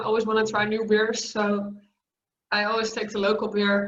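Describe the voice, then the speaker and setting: With a Dutch accent, a woman speaks at a moderate pace and a fairly high pitch, with audible room echo. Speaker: metal singer. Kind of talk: interview. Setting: video call.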